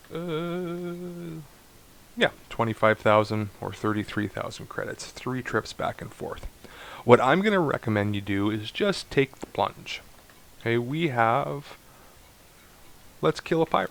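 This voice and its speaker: Fairly slow speech broken by long, frequent pauses, with very wide pitch swings and big swings in loudness. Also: man. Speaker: video game tutorial creator. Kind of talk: gameplay tutorial. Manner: casual, thinking aloud.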